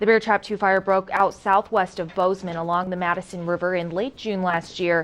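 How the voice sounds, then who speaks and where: Talking at a fairly quick pace, a woman has an unremarkable speaking voice of medium pitch. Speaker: news anchor. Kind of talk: TV news anchoring. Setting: studio.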